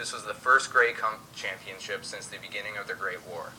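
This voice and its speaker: A man talks at a fairly quick pace. Noticeable noise runs behind him. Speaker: host of a school history project radio broadcast. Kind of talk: mock 1920s radio broadcast, scripted host talk.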